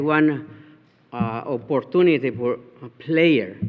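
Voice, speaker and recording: Speaking with a Spanish accent, a man talks at a fairly slow pace and fairly high pitch, his intonation lively. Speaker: resident speaking at county meeting. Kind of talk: public comment. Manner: halting.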